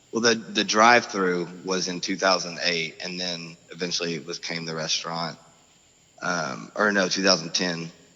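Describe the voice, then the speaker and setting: Noticeable background noise sits behind a man with a very deep, low pitch. He speaks with an American accent at a moderate pace, his intonation fairly even. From Oklahoma, US. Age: 30s. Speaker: former restaurant owner. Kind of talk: casual interview chat. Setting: phone call.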